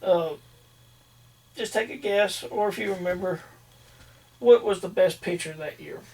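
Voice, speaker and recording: At a moderate pace, a man with a high pitch and ordinary pitch variation speaks with long, frequent pauses and big swings in loudness. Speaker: podcast host. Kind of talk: casual chat.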